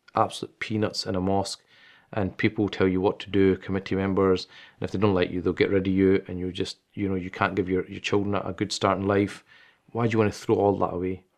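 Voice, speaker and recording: A man's very fast, fairly low-pitched voice in a Glaswegian accent, flat and monotone, against a quiet background. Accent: Glaswegian Scottish. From Scotland, Glasgow. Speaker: imam and Islamic teacher. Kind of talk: interview.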